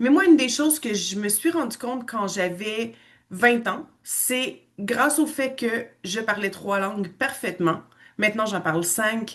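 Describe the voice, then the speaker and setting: Over a quiet background, a woman with a Quebec accent talks fairly slowly in a fairly high voice. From western Canada, Quebecois parents. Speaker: language school owner and teacher. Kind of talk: online information presentation.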